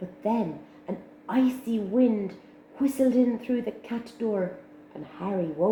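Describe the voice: In this plain reading aloud, the pitch varies in an ordinary way.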